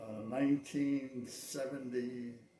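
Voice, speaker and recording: A man with a medium-pitched, dark, mellow voice speaks somewhat breathily, with audible room echo. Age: 80s+. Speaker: veteran cowboy action shooter. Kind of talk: interview.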